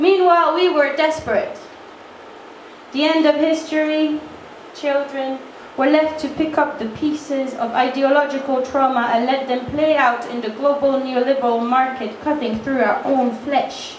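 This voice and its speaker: A woman speaks with a French accent at a high pitch. Noticeable background noise and audible room echo surround her voice. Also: fairly even intonation, moderate pace. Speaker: spoken word performer. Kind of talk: spoken word performance.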